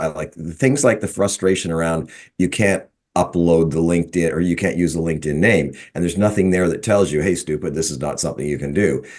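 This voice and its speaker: A man talks at a fairly quick pace in a very deep, low pitch. The background is quiet. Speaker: workshop participant. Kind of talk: casual chat.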